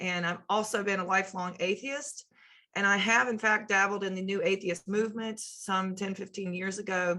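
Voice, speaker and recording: A woman talks fairly quickly, her medium pitch held in fairly even intonation. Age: 30s. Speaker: sociology lecturer. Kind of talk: lecture. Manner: halting, with fillers and repeated words.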